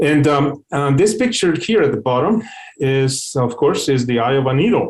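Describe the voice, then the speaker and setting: The pace is moderate. A man's medium-pitched voice carries lively intonation. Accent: non-native. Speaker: company CEO and scientist giving a webinar talk. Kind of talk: technical webinar lecture. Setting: online webinar. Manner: hesitant, many fillers and repetitions.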